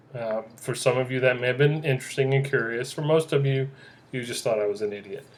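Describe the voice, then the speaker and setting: A man at medium pitch, very fast pace and fairly even intonation, with noticeable background noise. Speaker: podcast host. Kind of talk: casual solo podcast monologue. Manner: loud, boisterous; halting, many fillers and restarts.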